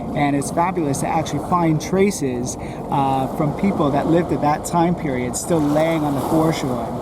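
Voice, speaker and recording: Over noticeable background noise and audible room echo, a man with a fairly high pitch speaks at a moderate pace in a fairly even intonation. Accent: American. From United States. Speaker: mudlark, finds collector. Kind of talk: casual show-and-tell explanation.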